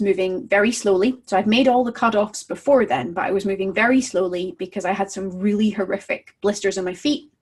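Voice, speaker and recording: Somewhat breathy, a woman speaks at a moderate pace in a fairly high pitch with ordinary pitch variation. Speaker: dog trainer blogger. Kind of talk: casual video blog talk.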